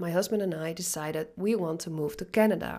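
A woman with a Dutch accent, medium pitch and lively intonation. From Netherlands. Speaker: business coach. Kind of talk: podcast monologue.

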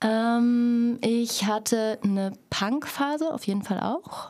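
On a very clean recording with a silent background, a woman talks at a fairly high pitch with ordinary pitch variation. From Thuringia, Stadtroda. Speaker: actress and theatre educator. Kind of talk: casual chat.

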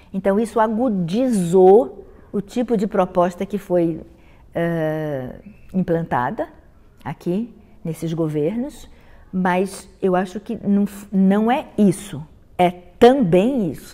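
With a dark, mellow tone and a medium pitch, a woman speaks at a very slow pace using lively intonation. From Brazil, Rio de Janeiro. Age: 70s. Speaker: dance critic and university professor. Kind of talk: interview monologue.

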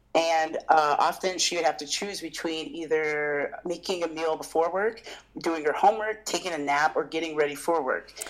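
Pitched fairly low, a woman talks at a moderate pace with fairly even intonation. Noticeable background noise runs underneath. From military bases: Japan, Portugal, US states. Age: 30s. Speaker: chef and food business owner. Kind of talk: casual interview. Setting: remote call.

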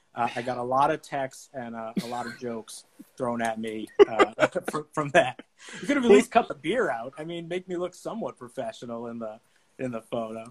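A man with an American accent talks at a moderate pace in a medium pitch with ordinary pitch variation. His loudness swings widely, and the sound is dry and close with no echo. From Boston, Massachusetts. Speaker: sports ticket salesman. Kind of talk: interview. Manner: halting.

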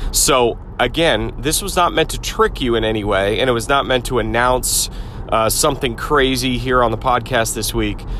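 The speech keeps a moderate pace while noticeable background noise runs underneath. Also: man. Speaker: podcast host. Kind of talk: solo podcast monologue. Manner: casual, filler-heavy.

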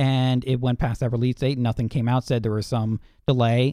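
A man's medium-pitched, normal speaking voice with fairly even intonation. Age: 20s. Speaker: co-host. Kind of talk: casual chat.

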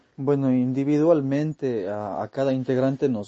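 Intonation stays fairly even as a man speaks fairly slowly. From Ecuador (Cuenca). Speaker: metal guitarist. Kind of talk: interview. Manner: halting, many repetitions and fillers.

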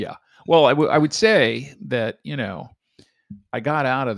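A man with vocal fry and lively intonation at a moderate pace, in a dry, close sound with no echo. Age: 60s. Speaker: retired entrepreneur, father on family podcast. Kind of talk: casual chat. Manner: halting, many restarts.

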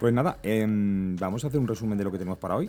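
A man's dark, mellow voice sits fairly low in pitch and shows ordinary pitch variation. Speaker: podcast host. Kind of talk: casual chat.

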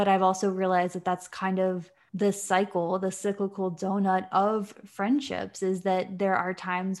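Recorded very cleanly against a silent background, a woman with an American accent speaks at medium pitch and a moderate pace. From Virginia, US. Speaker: podcast co-host. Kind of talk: casual chat.

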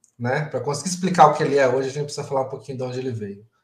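A man with a fairly high pitch talks in a somewhat breathy voice. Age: 30s. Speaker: agile coach and event organizer. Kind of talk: casual interview on a live stream. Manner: halting, with repeated words.

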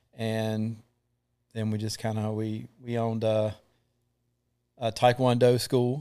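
A man with a Southern US accent talks very slowly at medium pitch in a monotone, flat intonation, with long, frequent pauses on a very clean recording with a silent background. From North Carolina (Thomasville). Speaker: combat veteran. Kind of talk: testimony.

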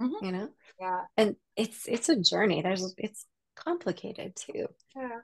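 Somewhat breathy and fairly high in pitch, a woman with an American accent speaks at a moderate pace with very wide pitch swings. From US Pacific Northwest (Seattle). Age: 40s. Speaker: personal trainer and health coach. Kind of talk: casual interview chat.

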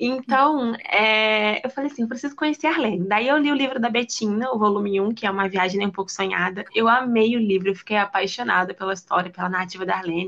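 A woman rattles along at a very fast pace with hardly any pauses, her fairly high voice showing ordinary pitch variation against noticeable background noise. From Rio de Janeiro, Brazil. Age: 20s. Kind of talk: casual chat.

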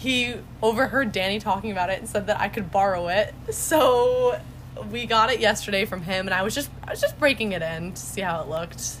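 With an American accent, a woman talks at a fairly quick pace in a plain, everyday voice, using a medium pitch and ordinary pitch variation. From New York. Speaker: college student. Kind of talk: casual chat.

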